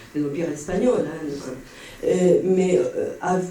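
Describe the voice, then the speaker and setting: A man with a Spanish accent and lively intonation, amid audible room echo and noticeable background noise. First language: Spanish (speaking French). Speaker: audience member. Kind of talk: Q&A comment at a conference. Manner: halting, many hesitations.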